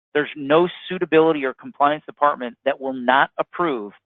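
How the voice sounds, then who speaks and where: At a moderate pace, a man uses an ordinary speaking voice pitched fairly high, with ordinary pitch variation. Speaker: insurance product presenter. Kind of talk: webinar sales presentation. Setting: phone line webinar.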